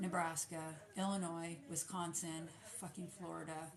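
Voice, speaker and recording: A woman's fairly low, monotone voice with flat intonation at a moderate pace, over noticeable background noise. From California, with childhood in US Midwest. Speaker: small business owner, soap maker. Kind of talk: casual livestream chat while packing orders.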